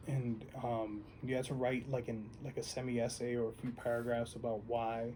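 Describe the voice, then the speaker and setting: In audible room echo, a man talks at a medium pitch. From New York City, South Bronx. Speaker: musician. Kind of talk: oral history interview. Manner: casual, animated.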